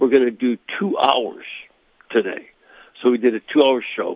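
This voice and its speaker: The speaker is a man. He talks at a moderate pace. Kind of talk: interview explaining church teaching.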